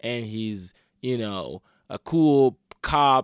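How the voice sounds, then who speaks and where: Dry and close with no echo, this is the sound of a man talking. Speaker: podcast host. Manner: casual, sarcastic, self-deprecating.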